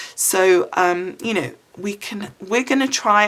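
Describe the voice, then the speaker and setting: Over noticeable background noise, a woman speaks with an English accent. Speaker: craft video creator. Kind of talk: casual talk to camera.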